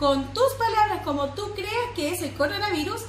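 A woman speaks at a fairly slow pace with audible room echo and light background noise. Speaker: preschool teacher. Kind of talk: instructions to children and parents. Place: classroom. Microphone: phone near.

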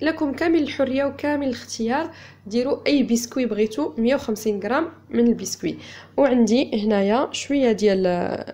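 Her tone dark and mellow, a woman speaks at a moderate pace with ordinary pitch variation. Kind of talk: tutorial. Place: home room.

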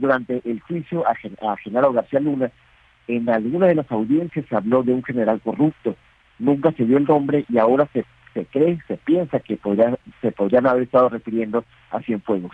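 He has an ordinary speaking voice at a medium pitch. The man keeps a moderate pace with ordinary pitch variation. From Mexicali, Baja California, Mexico. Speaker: newspaper editor. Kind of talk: news interview. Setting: phone or video call.

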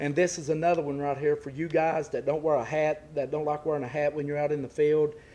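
Monotone and flat in intonation, a man speaks in a dark, mellow tone. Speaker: hunting channel host. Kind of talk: product review vlog. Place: forest. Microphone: phone near.

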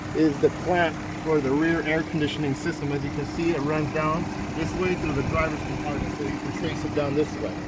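Loud background noise sits behind a man speaking at a fairly quick pace. The sound is dry, with no echo. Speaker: limousine salesman. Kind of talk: product walkthrough explanation. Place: street. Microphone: phone near.

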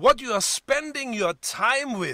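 With a German accent, a man uses a raised, projected voice, bright and sharp in tone, at a fairly slow pace. His pitch swings very widely, and the sound is dry with no echo against a quiet background. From Germany. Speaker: pastor. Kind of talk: sermon. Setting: church. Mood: warm, encouraging. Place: home room. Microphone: webcam.

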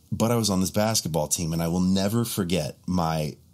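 With an American accent, a man talks at a moderate pace. His pitch varies in an ordinary way over a quiet background. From Montana, US. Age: 40s. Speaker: bass player and content creator. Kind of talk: casual chat. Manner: animated. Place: home room.

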